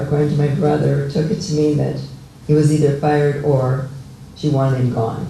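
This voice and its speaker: A man with an American accent speaks with fairly even intonation and a fairly high pitch, amid audible room echo and noticeable background noise. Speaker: local resident sharing memories. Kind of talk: oral history talk. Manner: halting.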